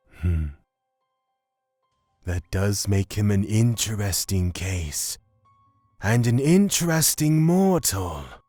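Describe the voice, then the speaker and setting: With faint music in the background, a man does a put-on character voice at a fairly low pitch, speaking very slowly with long, frequent pauses. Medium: audio drama.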